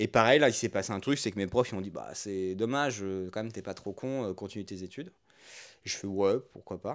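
In a very clean recording with a silent background, a man with a plain, everyday voice talks at a fairly quick pace, his pitch fairly low with ordinary variation and big swings in loudness. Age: 30s. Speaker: podcast co-host, entrepreneur. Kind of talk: casual chat. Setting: at home on a couch.

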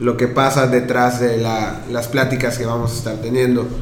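A man talks fairly slowly in a space with audible echo and clearly noticeable background noise. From Mérida, Yucatán, Mexico. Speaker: podcast co-host and audio producer. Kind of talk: casual chat.

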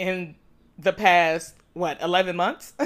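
This is a woman speaking. Her pitch is medium. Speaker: podcast host. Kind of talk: casual chat.

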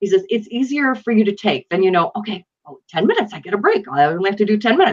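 A woman's somewhat breathy, medium-pitched voice in a Western New York accent, very fast, with lively intonation and big swings in loudness. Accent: Western New York American. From Buffalo, New York, US. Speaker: true crime author. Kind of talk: casual interview.

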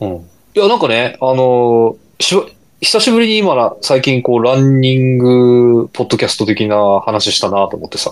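Here a man has a normal speaking voice at medium pitch, moving at a moderate pace with lively intonation. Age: 40s. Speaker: amateur runner podcast co-host. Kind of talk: casual chat.

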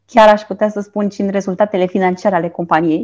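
The speaker has an unremarkable speaking voice with fairly even intonation against a quiet background. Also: woman. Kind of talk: casual chat.

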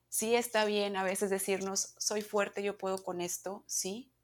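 In a very clean recording with a silent background, a woman speaks at a fairly slow pace. She has a normal speaking voice at a medium pitch. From Mexico, Monterrey. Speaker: yoga teacher. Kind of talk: interview.

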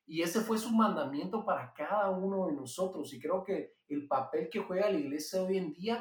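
A man speaks in a Guatemalan accent at a fairly slow pace. His pitch is high, and his intonation is lively. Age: 20s. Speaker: pastor and entrepreneur. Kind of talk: interview testimony. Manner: halting, frequent repetitions.

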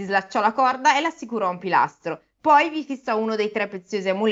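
In a natural reading voice with lively intonation, the speaker is heard over a quiet background.

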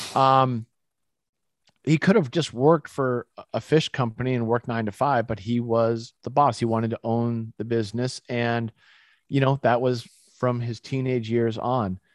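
A man with an American accent and a normal speaking voice talks at a moderate pace and medium pitch, with fairly even intonation and a dry, close sound with no echo over a quiet background. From Massachusetts, US (Boston area). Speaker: supplement company CEO. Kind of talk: interview, casual chat.

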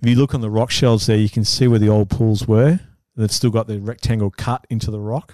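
Speaking very fast with an Australian accent, a man has a medium pitch, a dark, mellow tone and fairly even intonation, with a dry, close sound and no echo. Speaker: photographer. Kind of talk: casual chat.

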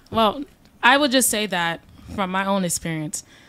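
Noticeable background noise surrounds a woman speaking in a medium pitch at a moderate pace. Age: 20s. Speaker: podcast panelist. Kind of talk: heated debate.

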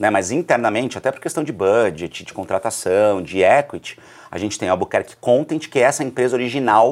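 A man's unremarkable speaking voice at medium pitch, fairly quick in pace, with lively intonation and big swings in loudness. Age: 30s. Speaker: journalist and entrepreneur. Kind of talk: casual interview. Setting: studio.

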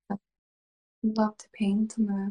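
A woman's somewhat breathy, fairly high voice with a dark, mellow tone, recorded dry and close with no echo. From Sweden. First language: Swedish. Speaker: ASMR creator. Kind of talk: whispered casual interview. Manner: giggly.

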